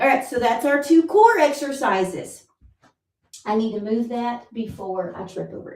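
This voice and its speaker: Her high-pitched voice moves at a moderate pace, and the woman's loudness swings widely. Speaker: fitness instructor. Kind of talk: live workout class instruction. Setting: livestream at home. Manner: encouraging, conversational.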